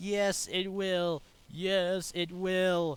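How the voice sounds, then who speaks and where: The speaker uses a put-on character voice with a sing-song lilt. Intonation stays flat and monotone. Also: man. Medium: read story. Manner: cheeky, sing-song repetition.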